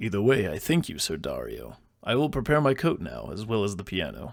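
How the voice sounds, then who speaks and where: In a put-on character voice, a man talks at a fairly quick pace and fairly low pitch on a very clean recording with a silent background. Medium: read story. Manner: formal, polite.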